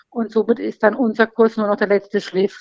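A woman's fairly high voice at a moderate pace. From Baden-Baden, southwest Germany. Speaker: amateur jockey examiner. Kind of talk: casual interview. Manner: hesitant, many fillers.

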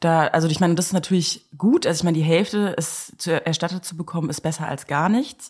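Speaking very fast, a woman with a fairly low pitch sounds somewhat breathy, with fairly even intonation. The recording is very clean, with a silent background. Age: 30s. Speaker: interviewee in fertility treatment. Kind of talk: casual interview. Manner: hesitant, many fillers.

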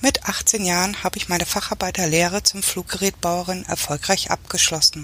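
Moderate pace and ordinary pitch variation in a woman's voice, medium in pitch and marked by vocal fry. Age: 40s. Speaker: engineering manager. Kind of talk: scripted monologue. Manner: formal.

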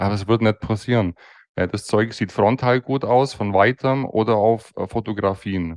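At a moderate pace and with ordinary pitch variation, the voice sounds dry and close with no echo over a quiet background. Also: man. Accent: Bavarian. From Bavaria (Allgäu / Bavarian Swabia). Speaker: master dental technician. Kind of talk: interview.

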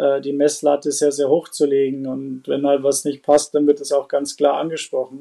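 Fairly high-pitched male voice with a dark, mellow tone at a moderate pace. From Bavaria, Bad Reichenhall. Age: 20s. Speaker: chef and pastry chef. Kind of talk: casual interview.

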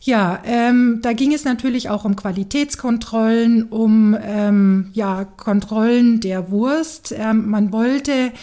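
A woman's fairly high voice with ordinary pitch variation and hardly any pauses. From Franconia, Nuremberg (Germany). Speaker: city tour guide. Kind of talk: casual interview. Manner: lively.

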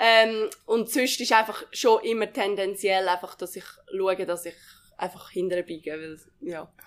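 Fairly slow delivery with ordinary pitch variation and big swings in loudness. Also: woman, medium pitch for a woman. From Switzerland, Uri (Andermatt). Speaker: alpine ski racer. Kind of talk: casual interview. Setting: training centre.

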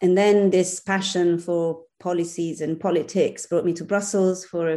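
Against a quiet background, a woman with an Italian accent speaks at a moderate pace in a dark, mellow tone with fairly even intonation. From Italy, Milan. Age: 50s. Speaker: social entrepreneur. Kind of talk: interview.

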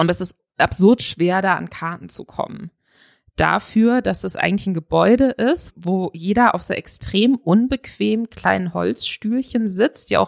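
Heard on a very clean recording with a silent background and a dry, close sound without echo, a woman uses an ordinary speaking voice at medium pitch with ordinary pitch variation. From Upper Franconia, Bayreuth area. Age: 30s. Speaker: journalist. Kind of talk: casual interview.

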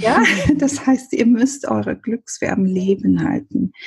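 This woman's voice is recorded with a dry, close sound and no echo. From Ethiopia. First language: Amharic and English (speaking German). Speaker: paediatrician and author. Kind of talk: interview. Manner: halting.

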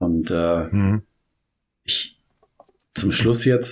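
Very slowly, a man speaks in a fairly low voice with ordinary pitch variation. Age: 40s. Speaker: podcast co-host. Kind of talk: casual chat. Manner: halting.

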